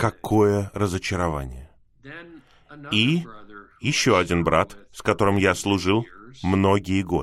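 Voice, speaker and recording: A very slow, fairly low-pitched man's voice with lively intonation and long, frequent pauses. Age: 60s. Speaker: preacher. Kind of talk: sermon. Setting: video call.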